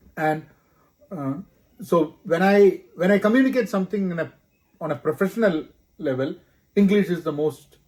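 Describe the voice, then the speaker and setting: With a Keralan accent, a man speaks at a moderate pace in a high pitch with ordinary variation, leaving long, frequent pauses. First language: Malayalam. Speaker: corporate professional, podcast co-host. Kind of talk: casual chat.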